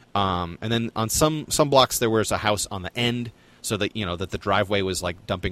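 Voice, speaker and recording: Speaking at a fairly quick pace with an American accent and ordinary pitch variation, this man has a plain, everyday voice. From New Jersey suburbs. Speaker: podcast co-host. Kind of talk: casual chat.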